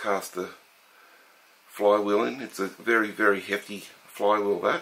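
At a very slow pace, a man talks in a fairly low pitch. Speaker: hobbyist model engine collector. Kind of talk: show-and-tell video demonstration. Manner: casual, with filler words. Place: home room.

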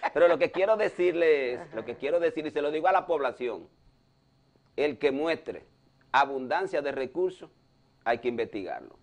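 Long, frequent pauses break up a man's moderate-paced speech, which has ordinary pitch variation. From Dominican Republic. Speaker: cardiologist and political commentator; political commentator. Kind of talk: news analysis talk show. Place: studio. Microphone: lapel.

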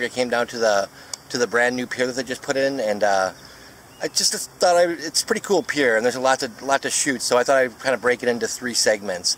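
Over light background noise, a man speaks at a very fast pace with ordinary pitch variation, the sound dry with no echo. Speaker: photographer vlogger. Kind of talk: casual vlog chat. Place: waterside. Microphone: phone near.

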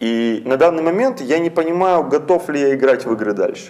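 A man talks at a moderate pace with lively intonation, noticeable background noise behind him. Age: young. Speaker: poet. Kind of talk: interview. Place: studio. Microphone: lapel.

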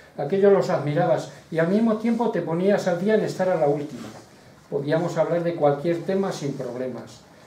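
Audible room echo surrounds a man's high-pitched voice, which moves at a moderate pace with lively intonation. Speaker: poet and friend of the author; poet. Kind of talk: poetry reading, heartfelt tribute poem; reading a tribute text aloud. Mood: warm, elegiac tribute. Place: hall. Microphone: camera far.

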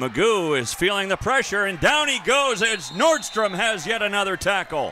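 Over noticeable background noise, a man with a high pitch projects a raised voice at a moderate pace, his pitch swinging very widely and hardly any pauses breaking his speech. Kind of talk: live football play-by-play commentary.

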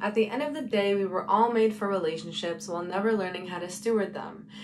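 A woman talks at a moderate pace with ordinary pitch variation while music plays behind her. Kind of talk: spoken word poetry. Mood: earnest, preaching tone. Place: home room. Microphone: phone near.

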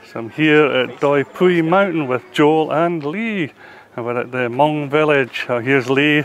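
Over light background noise, a man with a Scottish accent speaks at a fairly slow pace and a fairly high pitch with ordinary pitch variation, the sound dry with no echo. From Scotland. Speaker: travel vlogger. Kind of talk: travel vlog narration and casual chat; casual vlog chat. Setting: outdoors at a mountain restaurant. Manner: enthusiastic, animated. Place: street. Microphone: phone near.

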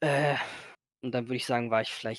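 The sound is dry with no echo, set against a quiet background. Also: man. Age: 20s. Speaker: gaming content creator. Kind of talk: casual interview. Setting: voice-only call, no camera. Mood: relaxed, casual. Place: home room.

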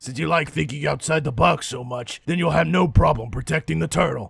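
Moving at a fairly quick pace, a man with a medium pitch makes very wide pitch swings. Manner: gruff, sarcastic.

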